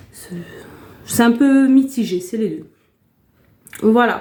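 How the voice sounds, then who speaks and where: A woman speaking at a very slow pace. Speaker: YouTuber. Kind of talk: casual vlog chat. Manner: hesitant, many fillers.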